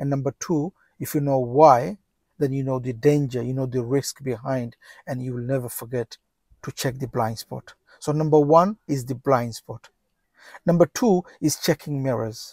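Against a quiet background, a man speaks at a moderate pace with ordinary pitch variation and big swings in loudness, the sound dry with no echo. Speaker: driving instructor. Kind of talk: tutorial. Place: car. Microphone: lapel.

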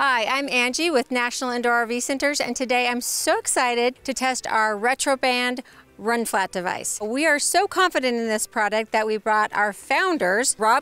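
At a high pitch with a bright, sharp tone, a woman talks at a moderate pace with hardly any pauses and ordinary pitch variation, the sound dry with no echo. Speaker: company sales director, host. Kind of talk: promotional presenter talk. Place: street.

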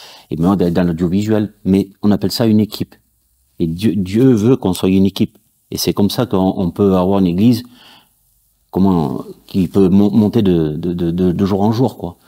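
Very deep, low-pitched male voice with a dark, mellow tone, ordinary pitch variation, a moderate pace and long, frequent pauses against a quiet background. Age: 40s. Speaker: church audiovisual volunteer. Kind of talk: testimony. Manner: halting, many fillers. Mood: earnest, faith testimony. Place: studio.

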